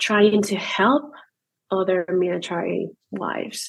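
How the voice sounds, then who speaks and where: A woman of medium pitch with a non-native accent and fairly even intonation. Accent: foreign. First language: not English. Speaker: new army wife, content creator. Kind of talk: podcast interview. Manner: halting, hesitant.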